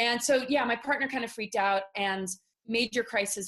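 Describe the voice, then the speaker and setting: The pitch of the woman's voice varies in an ordinary way. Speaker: spiritual speaker on secret space programs. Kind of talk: interview testimony. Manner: fast; halting.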